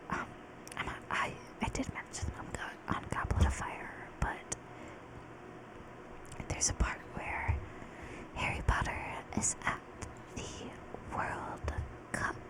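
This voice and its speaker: Whispering at a very slow pace, a woman leaves long, frequent pauses over noticeable background noise. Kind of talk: casual talk to camera. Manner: whispered.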